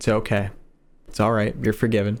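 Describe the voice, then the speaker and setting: A man with an American accent at a very fast pace. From US Northeast, Long Island, New York. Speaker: YouTuber, streamer reacting to horror videos. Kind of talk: live stream chat, reading super chats. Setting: live stream. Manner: casual, conversational.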